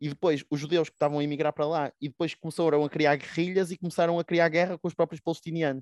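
A man's fairly high voice at a very fast pace, monotone and flat, against a quiet background. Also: hardly any pauses, dry, close sound with no echo. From Portugal, Porto. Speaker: podcast co-host. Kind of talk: casual discussion of current affairs.

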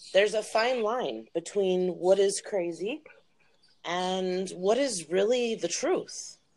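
Speaking at a very slow pace with an American accent, a woman uses a medium pitch and ordinary pitch variation. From Wisconsin, Milwaukee. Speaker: podcast participant matched with a stranger. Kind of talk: casual chat.

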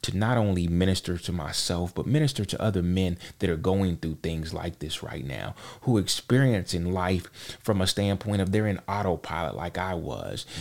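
A man with an American accent speaks at a moderate pace in a very deep, low voice, his pitch varying in an ordinary way, on a very clean recording with a silent background. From US South, Charlotte, North Carolina. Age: 40s. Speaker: podcast co-host, IT worker and father. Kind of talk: casual interview, personal testimony. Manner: halting, many repetitions.

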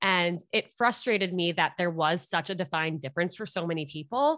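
Over a quiet background, a woman with a fairly low pitch and a bright, sharp tone speaks at a moderate pace with lively intonation. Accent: New York. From New York (Westchester). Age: 20s. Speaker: podcast host on dating. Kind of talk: casual chat.

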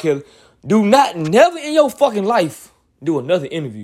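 A man talks in an animated tone with very wide pitch swings. The recording is very clean, with a silent background. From US South, Montgomery, Alabama. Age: 20s. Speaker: podcast host. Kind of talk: casual monologue commentary.

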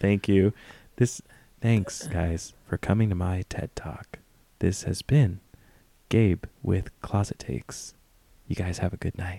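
Using a robotic, put-on character voice pitched very deep and low, a man speaks at a fairly slow pace with long, frequent pauses, recorded dry and close with no echo. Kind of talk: mock TED talk sign-off. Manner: monotone, flat.

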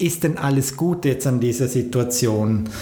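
A man talks at a very slow pace with ordinary pitch variation. The recording has audible room echo and noticeable background noise. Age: 40s. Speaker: podcast host and business coach. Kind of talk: motivational monologue.

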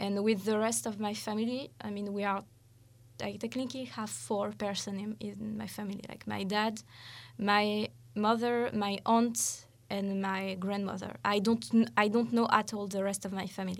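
Recorded very cleanly with a silent background, a woman talks at medium pitch. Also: fairly even intonation, moderate pace. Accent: French. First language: French. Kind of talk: casual chat. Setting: studio.

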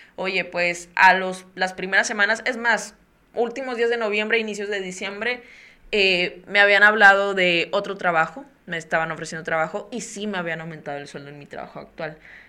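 A woman's bright, sharp voice swings widely in loudness. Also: medium pitch for a woman, ordinary pitch variation, moderate pace. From Mexico, Tampico, Tamaulipas. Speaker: podcast host. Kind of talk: casual interview.

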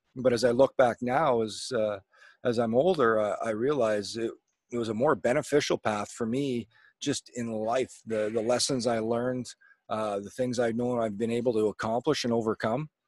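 Speaking at a moderate pace and medium pitch, a man with a Canadian prairie accent keeps his intonation fairly even. The very clean recording has a silent background and a dry, close sound with no echo. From Manitoba, Canada (small town). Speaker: former pro hockey player and TV color commentator. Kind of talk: casual interview.

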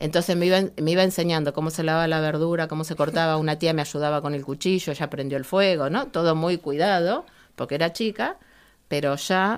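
Delivered at a fairly quick pace, a plain, everyday voice with ordinary pitch variation comes through on a very clean recording with a silent background. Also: woman, fairly low pitch for a woman. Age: 60s. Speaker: writer. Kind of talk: casual chat.

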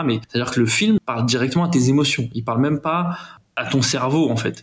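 A man speaks at a moderate pace and medium pitch, with ordinary pitch variation. He has an unremarkable speaking voice. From Paris suburbs, Aubervilliers (Seine-Saint-Denis). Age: 30s. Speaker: film producer. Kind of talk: casual interview.

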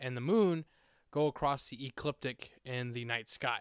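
In a very clean recording with a silent background, a man at medium pitch sounds dry and close, with no echo. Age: 20s. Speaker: podcast host. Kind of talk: solo podcast monologue.

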